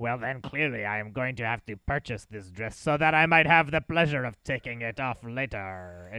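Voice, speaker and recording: A man performs a put-on character voice. He keeps a moderate pace with hardly any pauses. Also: medium pitch for a man. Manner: creepy.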